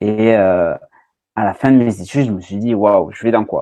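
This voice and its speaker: A man's medium-pitched voice in a southwestern French accent, dark and mellow in tone, at a fairly slow pace against a quiet background. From southwest France (Landes). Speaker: recruiter and marketer. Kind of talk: podcast interview. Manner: hesitant, many fillers.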